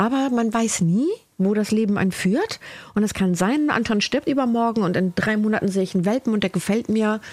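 A plain, everyday voice moves at a fairly quick pace with very even loudness and ordinary pitch variation. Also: woman, fairly high pitch for a woman. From northern Germany, Cuxhaven. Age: 50s. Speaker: body and trauma therapist. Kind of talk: interview about her life.

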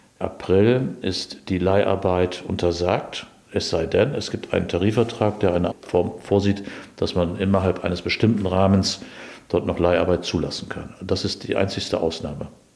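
With noticeable background noise behind him, a man with a very deep, low pitch speaks at a moderate pace and fairly even intonation. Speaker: meat industry union representative. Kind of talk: interview.

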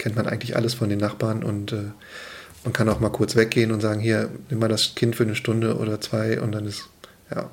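Using monotone, flat intonation, a man talks at a fairly low pitch. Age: 30s. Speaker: father of two, commuter. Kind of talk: casual chat.

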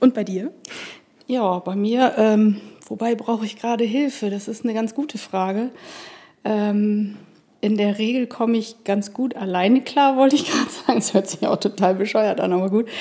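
A moderate-paced woman's voice, fairly high in pitch and fairly even in intonation, a normal speaking voice. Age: 50s. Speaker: mother of two. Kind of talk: casual chat. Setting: studio.

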